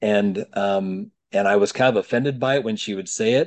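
A man's normal speaking voice at a moderate pace, with ordinary pitch variation. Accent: American. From Utah. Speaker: life coach. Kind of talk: casual interview.

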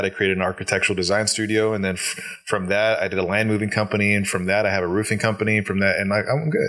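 A man talks very fast in a fairly low, monotone voice with flat intonation. Noticeable background noise can be heard. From Alaska, Kodiak. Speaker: business coach. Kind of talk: casual chat.

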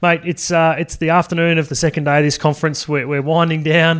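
Very fast male speech in a flat monotone. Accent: Australian. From Australia (Sydney). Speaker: podcast host. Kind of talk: interview. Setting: conference venue.

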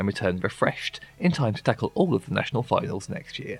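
At a very fast pace, a man speaks at a medium pitch through noticeable background noise. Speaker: podcast host. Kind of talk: solo podcast commentary.

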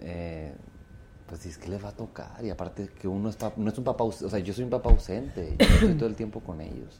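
A man with a plain, everyday voice speaks at a fairly quick pace and fairly low pitch. His intonation is lively, with big swings in loudness. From Mexico, Torreón, Coahuila. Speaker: singer. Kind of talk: casual chat.

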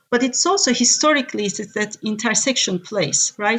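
A woman with a Turkish accent. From Turkey. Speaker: tech executive. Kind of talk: interview. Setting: remote call.

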